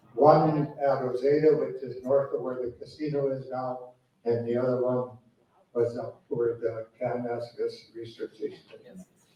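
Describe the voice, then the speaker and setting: This man has a Western Canadian accent and a monotone, flat intonation. His pace is moderate. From Canada, Alberta (Cochrane). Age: 70s. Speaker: lifelong local resident on history panel. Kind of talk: panel discussion.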